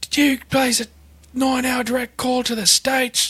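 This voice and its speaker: A man speaks at a moderate pace in a put-on character voice with an Australian accent, pitched extremely high and delivered in a monotone with flat intonation. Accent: cartoonish Australian. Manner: shouting, calling out.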